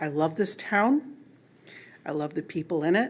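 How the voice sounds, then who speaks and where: A woman with a fairly low pitch and an American accent speaks at a moderate pace on a very clean recording with a silent background. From Allegan, Michigan, US. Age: 60s. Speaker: public commenter, resident. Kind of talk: public comment at council meeting. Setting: city council meeting.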